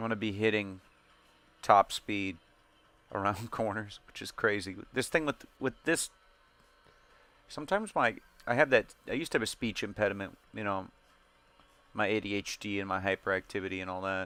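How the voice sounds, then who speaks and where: Fairly low male voice, bright and sharp in tone, with ordinary pitch variation and long, frequent pauses. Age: 30s. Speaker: gaming streamer. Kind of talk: casual chat over gameplay. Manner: fast; sometimes slurred when speaking fast.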